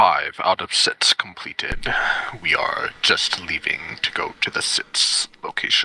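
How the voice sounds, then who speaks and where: A man whispers fairly slowly, using a put-on character voice. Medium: actual play. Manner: brisk, casual.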